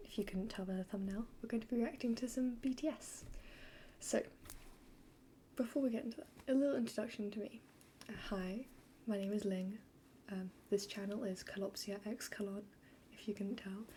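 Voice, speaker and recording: The voice is quiet and fairly quick, broken by long, frequent pauses. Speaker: YouTube reactor. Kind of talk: reaction video. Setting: home at night, roommates upstairs. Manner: quiet, subdued.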